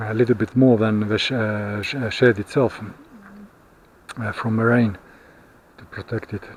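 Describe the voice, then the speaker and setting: Speech comes in a monotone, flat way with long, frequent pauses over noticeable background noise. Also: man, medium pitch for a man, moderate pace. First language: not English. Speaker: vlogger. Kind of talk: casual vlog monologue. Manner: halting, many fillers.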